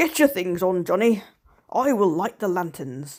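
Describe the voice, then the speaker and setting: A raspy, female-sounding put-on character voice at a middle pitch and a moderate pace, in a very clean recording with a silent background. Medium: read story. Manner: calm, measured.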